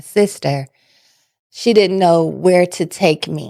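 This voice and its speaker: Very slowly, a woman speaks with an American accent at a fairly low pitch. The recording is very clean, with a silent background. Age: 40s. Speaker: patient sharing her story. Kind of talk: testimony.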